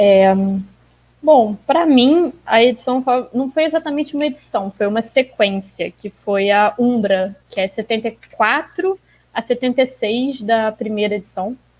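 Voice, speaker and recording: A woman's ordinary speaking voice, fairly high in pitch, with lively intonation and a fairly slow pace. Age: 20s. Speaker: comic fan guest. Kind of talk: casual chat.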